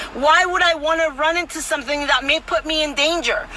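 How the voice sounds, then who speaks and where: Raising and projecting her voice, a woman talks at a moderate pace in an animated tone with ordinary pitch variation over noticeable background noise. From Mexico City. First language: Spanish. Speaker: political commentator. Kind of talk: casual vlog commentary. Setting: outdoors in Tijuana, neighbor present. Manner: animated, repetitive and emphatic.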